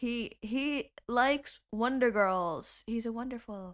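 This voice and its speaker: On a very clean recording with a silent background, a woman with an Indonesian accent speaks at a fairly high pitch in an animated tone with lively intonation. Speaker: YouTube music cover creator. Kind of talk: casual chat.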